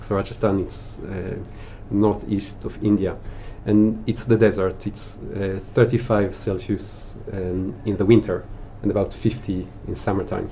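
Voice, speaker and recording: With an Israeli accent, a man with a fairly low pitch talks at a fairly slow pace in a monotone, flat delivery, his loudness swinging widely. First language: Hebrew. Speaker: spice merchant, former chef. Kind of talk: interview chat.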